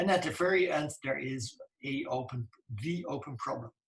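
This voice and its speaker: A man's voice is somewhat breathy. He speaks fairly slowly. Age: 60s. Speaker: computer science professor. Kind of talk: lecture. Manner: halting.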